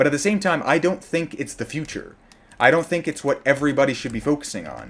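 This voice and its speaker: Vocal fry marks this man's fairly high voice. He talks at a very fast pace. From outside the US. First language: not English. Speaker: gaming streamer. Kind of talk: live gaming stream commentary. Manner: casual, halting with restarts.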